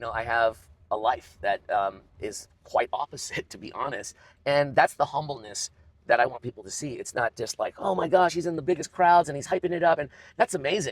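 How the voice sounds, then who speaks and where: With a dry, close sound and no echo, a man talks at a fairly quick pace in an energetic tone, his fairly high pitch showing vocal fry, lively intonation and big swings in loudness. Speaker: arena announcer and auctioneer. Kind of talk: interview answer. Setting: inside a car.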